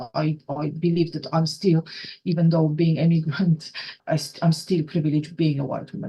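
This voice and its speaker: A woman with a Polish accent speaks in a very deep, low pitch. Her tone is dark, mellow and somewhat breathy, with monotone, flat intonation. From Poland. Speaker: rail operations trainer. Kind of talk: podcast interview. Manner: halting, many repetitions.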